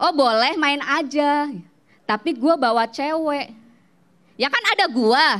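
Her voice is high-pitched, animated and playful, with lively intonation and long, frequent pauses as the woman speaks. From Banjarnegara, Central Java. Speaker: stand-up comedian. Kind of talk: stand-up comedy set, personal anecdotes and punchlines. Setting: stage with audience. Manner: animated, punchline-driven, playful storytelling; casual Jakarta slang, quick and conversational. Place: stage. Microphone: handheld.

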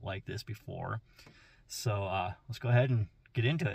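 A man talks at a moderate pace in a fairly low, somewhat breathy voice. The sound is dry, with no echo. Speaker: travel vlogger. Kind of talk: casual vlog chat. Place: car. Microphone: phone near.

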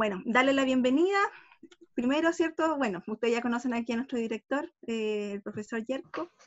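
A woman talks at a fairly quick pace in a high pitch. Behind her, the background is quiet. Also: lively intonation. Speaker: school secretary. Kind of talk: virtual welcome meeting. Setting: video call. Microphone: video call.

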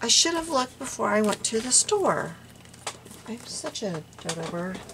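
A woman talks at a fairly quick pace. Noticeable background noise can be heard. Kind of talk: casual vlog chat. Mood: amused, self-deprecating. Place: home room.

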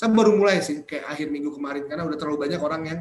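The speech comes at a very fast pace with ordinary pitch variation. Light background noise and audible room echo can be heard. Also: man. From Indonesia. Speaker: entrepreneurship speaker; speaker. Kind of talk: webinar lecture. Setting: video call. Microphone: webcam.

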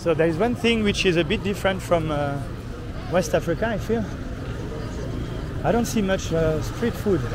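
A man talks at a moderate pace. Noticeable background noise is present, and the sound is dry with no echo. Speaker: travel vlogger. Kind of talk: casual vlog chat. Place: market. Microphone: phone near.

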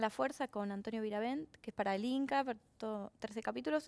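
A woman with a Rioplatense accent talks at a fairly quick pace, her fairly high pitch moving with ordinary variation. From Argentina. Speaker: actress. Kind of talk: casual chat. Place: studio. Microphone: headset.

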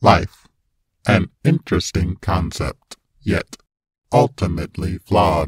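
In a put-on character voice, a man sounds robotic and raspy, with a very deep, low pitch, a fairly slow pace and long, frequent pauses. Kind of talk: villain monologue. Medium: dub. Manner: cold, menacing.

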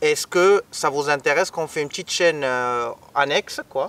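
A man talks at a fairly slow pace, with a fairly high pitch and ordinary pitch variation. His tone is fairly bright, and the sound is dry and close with no echo.

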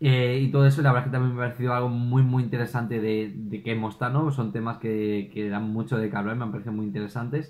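A man of medium pitch speaks at a very fast pace with hardly any pauses. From Spain. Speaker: YouTube film reviewer. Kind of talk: solo video review. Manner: animated. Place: home room.

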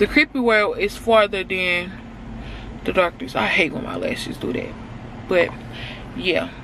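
A woman's medium-pitched voice at a fairly slow pace, over noticeable background noise. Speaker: lifestyle vlogger. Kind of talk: casual vlog. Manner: animated.

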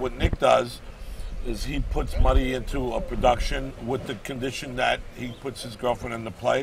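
Moderately paced speech comes through with dry sound, no echo, and light background noise. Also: man. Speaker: interview guest, stage actor. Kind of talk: interview answer. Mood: jovial, joking. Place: street. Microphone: lapel.

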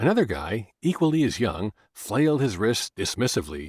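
A man is speaking. His voice has vocal fry. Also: very clean recording, silent background. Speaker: audiobook narrator. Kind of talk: dramatic audiobook narration of a dark murder mystery, voicing characters' dialogue. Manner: suspenseful, building tension as the serial killer rumors unfold; shifts into distinct character voices for bar patrons' heated argument.

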